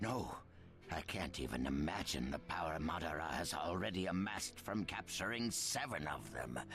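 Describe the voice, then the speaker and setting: Over clear background noise, a man puts on a character voice with a very deep, low pitch and very even loudness. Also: moderate pace. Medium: video game. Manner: wary, deliberate.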